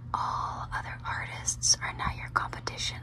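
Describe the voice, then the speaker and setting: Noticeable noise sits in the background. Over it, a woman whispers. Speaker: nail artist. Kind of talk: ASMR nail tutorial. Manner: whispered, soft-spoken.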